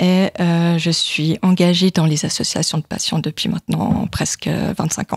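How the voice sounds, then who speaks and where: A woman's fairly low-pitched voice with fairly even intonation, in a dry, close sound with no echo. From Switzerland, canton of Vaud. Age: 40s. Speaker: patient. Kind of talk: testimony. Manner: hesitant.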